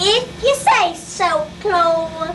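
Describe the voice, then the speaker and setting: A woman puts on a squeaky character voice at an extremely high pitch, with clear background noise behind her. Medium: read story. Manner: mild, agreeable.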